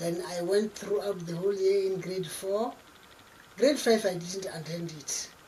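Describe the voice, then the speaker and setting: With audible room echo and noticeable background noise, a woman talks at medium pitch with fairly even intonation. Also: fairly slow pace. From South Africa, Limpopo. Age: 60s. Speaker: community leader. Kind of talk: interview.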